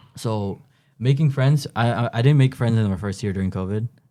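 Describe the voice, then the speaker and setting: A man with a Toronto accent, dark and mellow in tone, fairly quick pace, ordinary pitch variation, very clean recording with a silent background. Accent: Toronto Canadian English. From Canada, Toronto. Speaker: university student. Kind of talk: casual interview. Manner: casual, halting.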